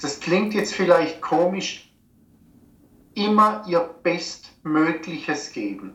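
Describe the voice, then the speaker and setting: Audible room echo surrounds a man's voice. He speaks at a very slow pace with a high pitch. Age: 50s. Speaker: personal trainer and naturopath. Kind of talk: interview. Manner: halting.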